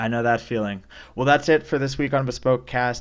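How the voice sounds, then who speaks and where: Against a quiet background, a man talks at a medium pitch with fairly even intonation. He has a plain, everyday voice. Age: 20s. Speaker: podcast host, market strategist. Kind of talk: interview conversation.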